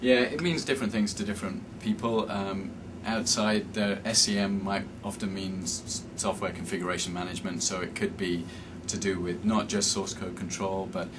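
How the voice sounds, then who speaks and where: Noticeable background noise and audible room echo accompany a man with a very deep, low voice and a British accent, speaking at a moderate pace. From England, Cambridge. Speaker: software development manager. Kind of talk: interview.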